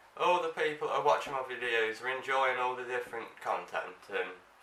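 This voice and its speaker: Audible room echo surrounds a man speaking at a moderate pace and medium pitch. His pitch swings very widely. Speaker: vlogger. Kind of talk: casual chat.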